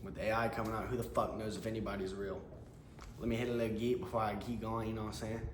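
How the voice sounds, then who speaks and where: With an American accent, a man of medium pitch speaks very fast in a monotone, flat delivery, with audible room echo and noticeable background noise. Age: 20s. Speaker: door-to-door salesman. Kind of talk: casual vlog monologue. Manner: casual, with hesitations and restarts.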